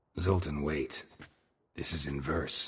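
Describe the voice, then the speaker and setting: A man uses a put-on character voice. It is raspy and pitched very deep and low. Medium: video game. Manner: dry, deadpan.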